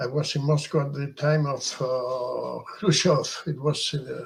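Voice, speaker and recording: A somewhat breathy voice at a fairly slow pace with fairly even intonation. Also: man. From Peru. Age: 70s. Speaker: journalist. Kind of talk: interview.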